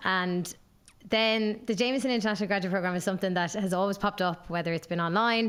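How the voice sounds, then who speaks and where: A woman's medium-pitched voice with a southeastern Irish accent. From Ireland, Waterford. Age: 20s. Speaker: graduate brand ambassador, former radio presenter. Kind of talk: casual podcast interview.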